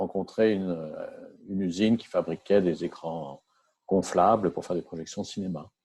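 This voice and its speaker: A man speaks at a moderate pace with a very deep, low pitch. His dark, mellow tone holds fairly even intonation. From France. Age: 60s. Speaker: entrepreneur. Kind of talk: interview. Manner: halting.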